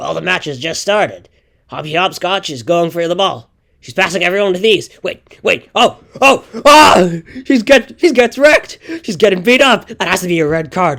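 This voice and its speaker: A man uses a high, cartoonish character voice at a moderate pace. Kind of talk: excited sports commentary. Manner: excited, fast.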